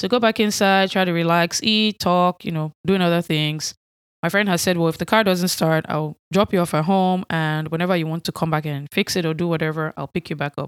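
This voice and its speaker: On a very clean recording with a silent background and a dry, close sound with no echo, a woman with an American accent speaks at a fairly low pitch and a fairly quick pace, with ordinary pitch variation. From Nigeria. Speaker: podcast host. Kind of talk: solo podcast monologue.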